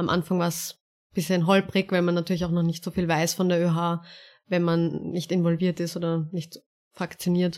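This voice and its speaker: In a very clean recording with a silent background, a woman speaks at a moderate pace. Her fairly low voice stays monotone and flat. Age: 20s. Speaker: student politician. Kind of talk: interview.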